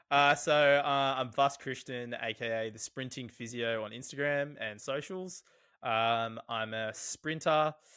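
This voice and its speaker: A man with an Australian accent, medium pitch, bright and sharp tone, ordinary pitch variation and moderate pace, in a very clean, silent recording with a dry, close sound and no echo. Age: 20s. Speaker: physiotherapist and sprint coach. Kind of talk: casual chat.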